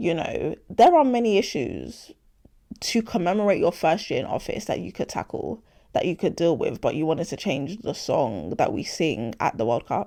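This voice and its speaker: In a London accent, a woman talks with an animated tone at a moderate pace in a very clean recording with a silent background. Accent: London, multicultural London English. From London (Hackney), British Nigerian. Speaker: podcast host. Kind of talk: casual opinion monologue.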